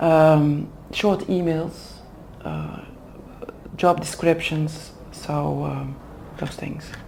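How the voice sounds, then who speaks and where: With a Flemish Belgian accent, a woman speaks at a very slow pace with long, frequent pauses and big swings in loudness, amid audible room echo and noticeable background noise. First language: Dutch. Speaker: HR manager for executive development. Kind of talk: interview. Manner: hesitant, many fillers.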